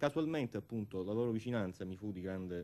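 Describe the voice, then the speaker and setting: With a dark, mellow tone, a man speaks in a fairly low voice at a moderate pace. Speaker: guest. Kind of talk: interview answer. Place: studio. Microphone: studio mic.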